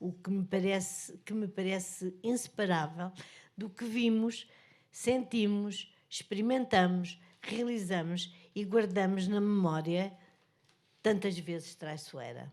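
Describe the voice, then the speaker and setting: A woman speaks with a European Portuguese accent at medium pitch. Her pace is very slow, with ordinary pitch variation. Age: 80s+. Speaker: author and journalist. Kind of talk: book presentation speech. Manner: halting.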